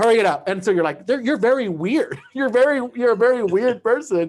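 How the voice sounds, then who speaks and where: Extremely high-pitched for a man, this voice moves at a fairly quick pace. His intonation is lively. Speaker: comedian and podcast host. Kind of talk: casual chat. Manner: fast.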